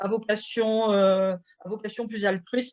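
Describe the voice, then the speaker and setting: Fairly even intonation marks this woman's speech. Her pitch is fairly high. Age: 50s. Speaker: nonprofit president, business creation advisor. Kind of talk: conference talk. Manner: hesitant, many fillers.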